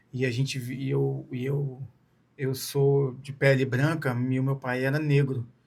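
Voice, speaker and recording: A man with a medium pitch, monotone, flat intonation, a somewhat breathy quality and a fairly slow pace. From Brazil, Espírito Santo (Vitória/Serra). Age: 40s. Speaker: ultramarathon runner. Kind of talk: interview.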